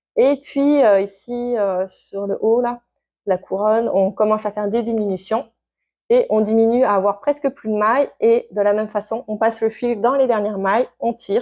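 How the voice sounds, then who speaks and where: A woman with a dark, mellow tone speaks at a fairly high pitch and a moderate pace. Her intonation stays fairly even. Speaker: knitting and sewing vlogger. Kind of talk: casual vlog. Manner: hesitant, many fillers.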